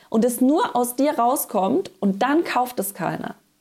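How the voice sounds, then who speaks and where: A woman with a high voice talks at a fairly slow pace, her pitch swinging very widely. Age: 30s. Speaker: podcast host, business coach. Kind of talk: solo podcast monologue. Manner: casual.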